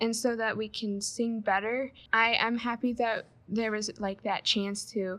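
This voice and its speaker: Speaking with an American accent, a woman uses a fairly high pitch and a bright, sharp tone. Her pace is fairly slow. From Michigan. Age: 20s. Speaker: Bible college student. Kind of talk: interview.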